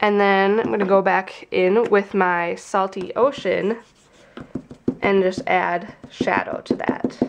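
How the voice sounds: Slowly, a woman speaks with a nasal sound and vocal fry. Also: medium pitch for a woman, fairly even intonation.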